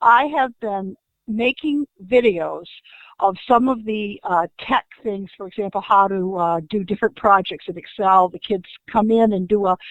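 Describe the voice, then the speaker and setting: A normal speaking voice from a woman at medium pitch, fairly slow in pace, with ordinary pitch variation and big swings in loudness. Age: 60s. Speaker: school technology specialist. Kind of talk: audience question. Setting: online webinar from home.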